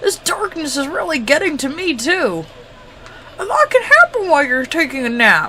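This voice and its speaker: A woman uses a put-on character voice with a high pitch at a moderate pace. Clear background noise is present. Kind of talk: comic overacting. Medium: game stream. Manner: brash, boastful, excitable.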